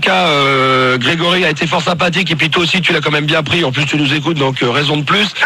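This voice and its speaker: There is noticeable background noise and audible room echo as a man talks with ordinary pitch variation. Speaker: radio host running prank calls. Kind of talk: live radio prank call. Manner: animated.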